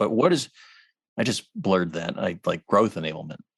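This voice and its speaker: In a quiet background with dry, close sound and no echo, a man speaks at a fairly low pitch. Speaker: podcast host and company CEO. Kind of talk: podcast interview. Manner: mumbling.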